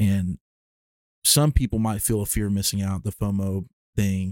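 A dark, mellow voice in a Southern US accent comes through with a dry, close sound and no echo. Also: man. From Alabama. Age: 20s. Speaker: musician and storyteller. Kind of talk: casual interview chat.

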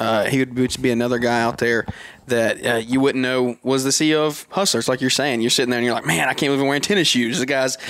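A man talks at a very fast pace with very even loudness. Noticeable background noise sits behind him. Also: medium pitch for a man, ordinary pitch variation. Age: 20s. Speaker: podcaster. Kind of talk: casual chat.

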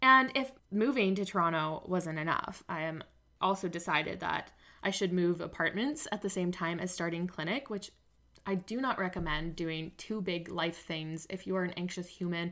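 With a Canadian accent, a woman speaks at a fairly low pitch in a bright, sharp tone. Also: ordinary pitch variation, moderate pace. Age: 20s. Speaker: podcast host and naturopathic medicine student. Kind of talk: casual solo monologue.

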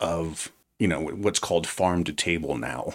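The background is silent on this very clean recording of a man speaking with an American accent. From New Jersey. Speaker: chef. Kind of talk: interview. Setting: in person.

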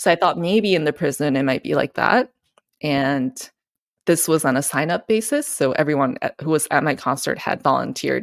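At a moderate pace, a woman talks in a very deep, low pitch with vocal fry, captured with a dry, close sound and no echo. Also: lively intonation. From Japan. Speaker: classical pianist. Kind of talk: interview.

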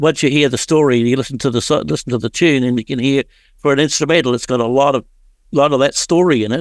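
A man with an Australian accent talks at a very fast pace in a medium pitch, his intonation fairly even, on a very clean recording with a silent background and a dry, close sound with no echo. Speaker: radio countdown host. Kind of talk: radio show presenting.

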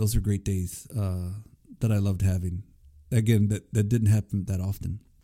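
In a very clean recording with a silent background, a man with an American accent speaks at a moderate pace, his fairly low pitch, dark, mellow tone and fairly even intonation holding together. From Corpus Christi, Texas. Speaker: Marine Corps veteran podcast host. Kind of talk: personal storytelling monologue. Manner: casual, hesitant with many fillers.

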